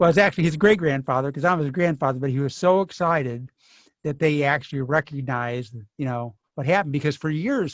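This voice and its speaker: This man talks at a very fast pace in a fairly high pitch. The background is quiet. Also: ordinary pitch variation. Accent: American. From US Midwest, Kankakee, Illinois. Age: 60s. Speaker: author. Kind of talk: author talk Q&A. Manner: halting.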